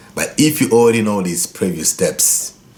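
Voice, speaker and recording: With a Congolese accent and a fairly low pitch, a man speaks in very wide pitch swings against noticeable background noise. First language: Lingala. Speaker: guitar teacher. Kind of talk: tutorial; channel outro.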